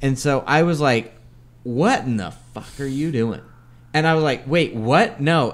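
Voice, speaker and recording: On a very clean recording with a silent background, a man talks at a medium pitch in a plain, everyday voice. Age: 40s. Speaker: podcast co-host. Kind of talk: casual chat.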